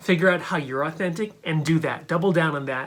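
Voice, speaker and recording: A high-pitched man with an American accent at a very fast pace, over noticeable background noise. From New Hampshire, USA. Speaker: stand-up comedian. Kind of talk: casual talk to camera.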